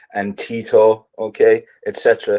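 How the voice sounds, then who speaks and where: The speaker is a man with an Irish accent. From Ireland. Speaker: writer. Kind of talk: interview. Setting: video call.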